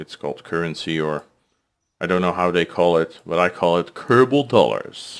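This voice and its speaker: Speaking with a Dutch accent, a man with a very deep, low pitch talks at a moderate pace with lively intonation on a very clean recording with a silent background. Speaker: gaming streamer. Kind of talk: gameplay commentary. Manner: halting.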